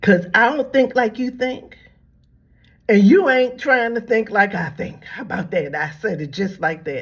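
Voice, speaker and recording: Somewhat breathy and fairly high, a woman's voice moves at a fairly slow pace with very wide pitch swings. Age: 70s. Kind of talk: religious commentary monologue. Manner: repetitive, halting restarts.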